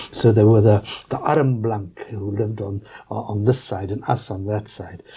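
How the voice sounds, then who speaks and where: A man with a fairly low pitch, moderate pace, fairly even intonation and big swings in loudness, over noticeable background noise. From South Africa, Johannesburg. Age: 60s. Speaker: politician. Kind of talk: interview. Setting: studio. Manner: halting.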